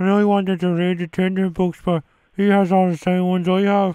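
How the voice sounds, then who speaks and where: In a put-on character voice, a man sounds whiny and high, speaking at a fairly quick pace with monotone, flat intonation and very even loudness. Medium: comedy sketch. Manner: whiny, repetitive.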